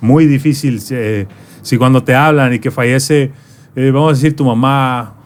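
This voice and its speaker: A man with a normal speaking voice talks at a fairly slow pace with fairly even intonation. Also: medium pitch for a man. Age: 30s. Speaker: podcast host. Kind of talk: interview.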